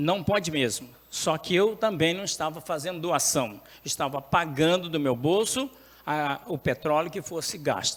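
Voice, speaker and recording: A man with a high pitch speaks at a fairly slow pace. His intonation is lively. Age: 70s. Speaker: city councillor. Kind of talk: council speech. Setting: municipal council chamber.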